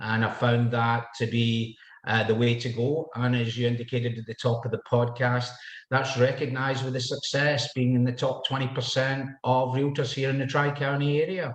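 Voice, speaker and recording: In a Scottish accent, a man speaks at a moderate pace and medium pitch, somewhat breathy, with monotone, flat intonation. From Scotland. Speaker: realtor. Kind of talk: podcast interview.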